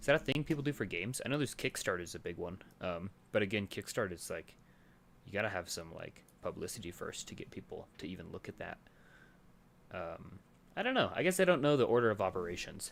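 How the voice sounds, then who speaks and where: A man talks very fast, broken by long, frequent pauses. His pitch swings very widely and his loudness rises and falls sharply. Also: fairly low pitch for a man. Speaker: game developer streamer. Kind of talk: live stream chat while coding. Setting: live stream with webcam. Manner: casual, hesitant with fillers; quiet, mumbling.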